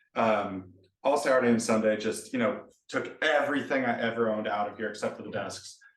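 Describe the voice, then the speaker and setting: Audible room echo around a man's fairly quick, medium-pitched speech with ordinary pitch variation. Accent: American. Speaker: software developer. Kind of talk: casual chat.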